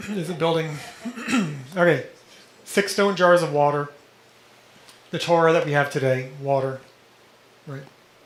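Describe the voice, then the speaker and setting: A man at a fairly high pitch and moderate pace, fairly even intonation, long, frequent pauses, audible room echo and noticeable background noise. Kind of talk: lecture.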